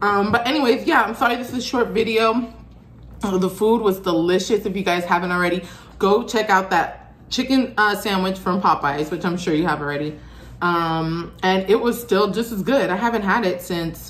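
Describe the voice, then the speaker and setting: This woman talks at a moderate pace with ordinary pitch variation. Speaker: food vlogger. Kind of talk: casual vlog chat. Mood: relaxed, friendly. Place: home room. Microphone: phone near.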